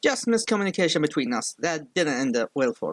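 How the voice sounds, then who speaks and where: A man with a strong non-native accent speaks at a moderate pace, and the sound is dry and close with no echo. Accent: strong non-native accent, needs subtitles. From outside the US. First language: not English. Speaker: film critic youtuber. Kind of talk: online video commentary. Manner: slurred.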